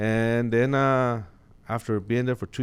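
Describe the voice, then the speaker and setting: A man speaks with a slight Mexican accent. His pace is moderate. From Mexico (Chihuahua), moved to Colorado at 13. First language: Spanish. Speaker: sheriff's office captain. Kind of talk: interview. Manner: hesitant, many fillers.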